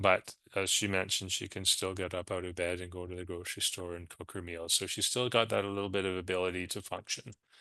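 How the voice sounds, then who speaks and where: Against a quiet background, the voice runs at a very fast pace in a monotone, flat delivery with hardly any pauses. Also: man, very deep, low pitch for a man. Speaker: hospice program director. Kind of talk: webinar presentation.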